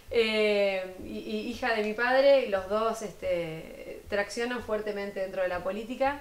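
In a Rioplatense accent, a woman speaks at a fairly slow pace with a fairly high pitch and ordinary pitch variation. Room echo is audible. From Argentina, Buenos Aires province (Florencio Varela). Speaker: municipal culture official. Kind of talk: TV interview. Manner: hesitant, many fillers. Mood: earnest, committed. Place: studio. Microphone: lapel.

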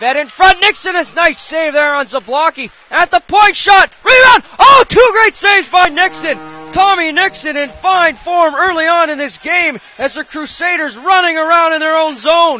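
A man's extremely high, raised and projected voice, animated in tone, with big swings in loudness and hardly any pauses, dry and close with no echo but with noticeable background noise. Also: ordinary pitch variation, moderate pace. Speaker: hockey play-by-play commentator. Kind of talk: live sports commentary. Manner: excitable, animated on saves and goals.

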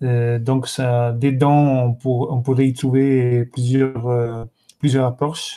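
A man with an Italian accent speaks very slowly at a medium pitch, his tone dark and mellow. His intonation is monotone and flat, his loudness very even, and the background quiet. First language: Italian (speaking French). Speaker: course host, moderator. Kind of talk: live-streamed course moderation. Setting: video conference livestream. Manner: halting, many hesitations. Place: home room. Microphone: webcam.

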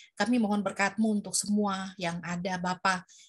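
Against a quiet background, a woman speaks at a moderate pace. Her voice is somewhat breathy, with fairly even intonation. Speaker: moderator. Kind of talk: prayer group moderating. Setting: video call. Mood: earnest, devout. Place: home room. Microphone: webcam.

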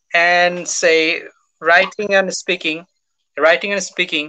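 A man speaks in a high, bright, sharp voice at a fairly slow pace. His intonation stays monotone and flat. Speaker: IELTS expert; guest. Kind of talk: live webinar Q&A. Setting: video call. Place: home room. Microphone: video call.

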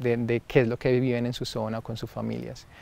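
A man's medium-pitched voice at a moderate pace, dry with no echo. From Antioquia, Colombia. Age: young. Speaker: filmmaker; guest. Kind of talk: interview. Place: garden. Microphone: lapel.

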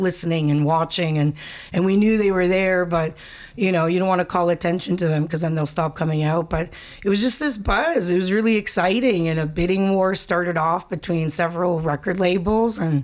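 Speaking at a fairly quick pace and fairly low pitch, a woman keeps her loudness very even and her pitch variation ordinary, against a quiet background. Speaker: singer. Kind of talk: interview answer. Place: studio. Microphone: studio mic.

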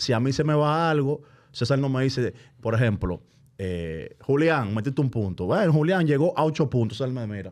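Lively in intonation, a man speaks fairly quickly with a quiet background behind him. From Dominican Republic, San Cristóbal; Dominican Republic. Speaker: basketball broadcast commentator. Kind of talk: casual chat. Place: studio. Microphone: studio mic.

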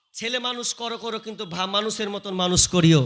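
A man speaks in a raised, projected voice with an animated tone. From West Bengal, Murshidabad. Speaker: Islamic preacher. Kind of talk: sermon.

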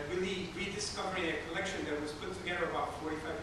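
Over loud background noise, a man speaks with audible room echo. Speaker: museum curator host. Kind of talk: public talk. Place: hall. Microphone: camera far.

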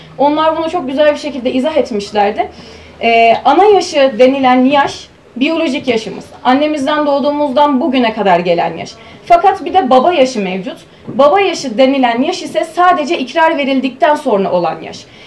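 Over light background noise, a woman with a high pitch speaks at a moderate pace with lively intonation. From Hatay, southern Turkey. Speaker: university student presenter; presenter. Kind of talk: conference paper presentation. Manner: formal. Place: meeting room. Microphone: camera far.

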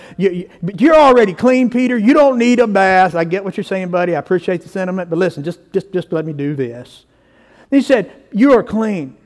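A man with a Southern US accent speaks at a fairly quick pace in a high pitch, with an animated tone. His loudness swings widely. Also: quiet background. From US South. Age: 50s. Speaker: pastor. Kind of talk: sermon. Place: church.

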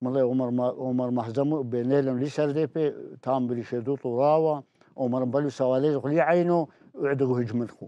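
In a dry recording with no echo and a quiet background, a man of medium pitch and dark, mellow tone speaks at a fairly slow pace with fairly even intonation. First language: Turoyo (Neo-Aramaic) (speaking Arabic). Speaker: elderly storyteller recounting village history. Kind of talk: oral history interview. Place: studio. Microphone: lapel.

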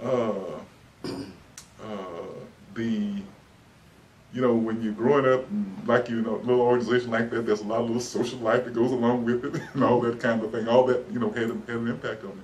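A man talks with a Texan accent at a fairly quick pace. His intonation is fairly even, with light background noise. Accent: Texan Southern American English. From Dallas, Texas. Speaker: oral history interviewee. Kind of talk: oral history interview answer. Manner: hesitant, many fillers. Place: office.

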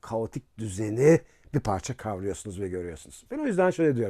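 A man speaks with a dark, mellow tone and very wide pitch swings. The recording is very clean, with a silent background. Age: 50s. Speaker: philosophy professor. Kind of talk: casual interview talk. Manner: hesitant, with filler sounds.

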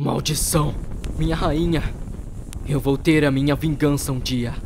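A put-on character voice from a man, fairly high-pitched and raspy, with monotone, flat intonation at a moderate pace. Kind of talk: comic overacting. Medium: fan dub. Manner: melodramatic grief.

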